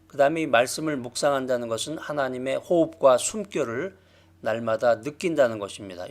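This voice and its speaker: Here is a man with a normal speaking voice. He has a fairly high pitch and a moderate pace. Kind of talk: lecture. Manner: measured, with filler pauses.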